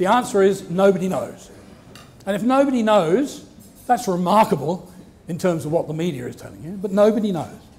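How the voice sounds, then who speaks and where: With ordinary pitch variation, a man speaks at a high pitch. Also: fairly quick pace. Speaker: marine geologist and professor. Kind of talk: lecture talk. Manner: soft-spoken. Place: hall.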